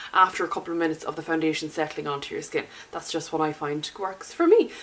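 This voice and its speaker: A woman with an Irish accent, very fast pace and fairly even intonation, amid noticeable background noise. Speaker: beauty YouTuber. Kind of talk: makeup tutorial talk to camera.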